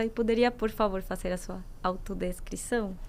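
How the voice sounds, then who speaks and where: With a Colombian accent, a woman speaks. Her pitch is fairly high. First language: Spanish (speaking Portuguese). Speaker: moderator, foundation studies manager. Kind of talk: moderated panel discussion.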